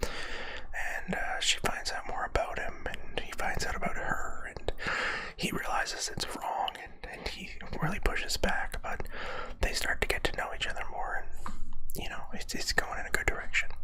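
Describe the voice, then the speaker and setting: Whispering at a moderate speed, with noticeable noise behind it. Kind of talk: ASMR whisper ramble. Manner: whispered; rambling, hesitant.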